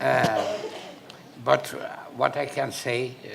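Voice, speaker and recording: A man talks fairly slowly at a medium pitch. Noticeable background noise and audible room echo fill the recording. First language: Portuguese. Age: 70s. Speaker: panelist, son of a former national leader. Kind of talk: panel discussion. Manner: halting.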